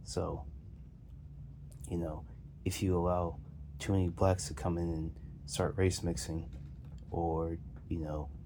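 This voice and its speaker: A man speaks in a very deep, low pitch with a dark, mellow, somewhat breathy tone and fairly even intonation. His pace is fairly slow, with long, frequent pauses and audible room echo. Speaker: video commentator. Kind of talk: casual monologue. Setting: lying on a pillow on the floor. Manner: halting, with many fillers and repeats.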